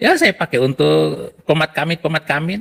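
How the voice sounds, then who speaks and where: The sound is dry and close, without any echo. A man talks through it at a moderate pace. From Indonesia. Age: 60s. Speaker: Quran memorizer turned religion critic. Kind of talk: casual chat.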